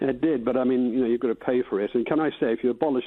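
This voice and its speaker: A man is talking. His pitch rises and falls in an ordinary way. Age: 70s. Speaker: caller. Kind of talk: radio phone-in.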